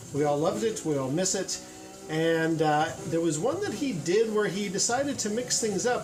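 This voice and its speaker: The speaker keeps a moderate pace with music in the background. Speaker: YouTuber, gaming commentator. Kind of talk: casual gameplay commentary. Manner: animated.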